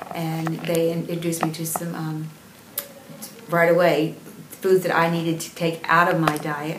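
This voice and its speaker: Over noticeable background noise and audible room echo, a woman speaks in a flat monotone at a moderate pace and fairly low pitch, with big swings in loudness and long, frequent pauses. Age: 60s. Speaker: patient giving testimonial. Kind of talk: testimony. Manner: halting, many fillers.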